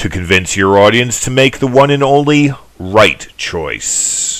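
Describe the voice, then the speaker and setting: Here a man talks at a fairly slow pace in an ordinary speaking voice. His medium pitch carries lively intonation. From United States. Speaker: voice actor. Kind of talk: self-promotional voiceover pitch.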